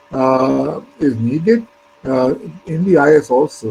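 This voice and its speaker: Speaking with a Pakistani accent, a man is heard over noticeable background noise. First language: Urdu. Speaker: retired civil servant. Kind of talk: interview. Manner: hesitant, many fillers.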